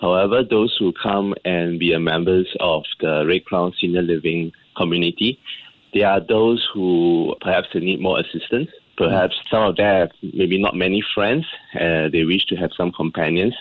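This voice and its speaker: A man speaks in a very deep, low voice with fairly even intonation. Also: moderate pace. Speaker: senior living entrepreneur. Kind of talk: radio interview. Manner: calm.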